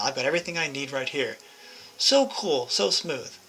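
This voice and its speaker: Over noticeable background noise, the speech rushes by at a very fast pace. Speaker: video game guide creator. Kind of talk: tutorial. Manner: casual and chatty with self-corrections.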